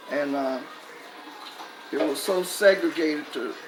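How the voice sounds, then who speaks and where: A woman's very deep, low-pitched voice, with audible room echo and noticeable background noise. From US South, North Carolina. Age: 80s+. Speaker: civil rights veteran. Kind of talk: personal testimony.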